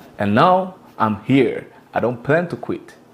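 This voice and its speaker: This man's delivery is fairly slow, and his pitch moves with ordinary variation. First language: French. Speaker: YouTube content creator. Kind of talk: scripted narration.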